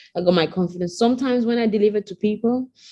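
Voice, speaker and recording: The woman here talks at a fairly quick pace. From Nigeria, Benin City. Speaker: delivery bike rider. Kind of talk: interview. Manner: animated storytelling.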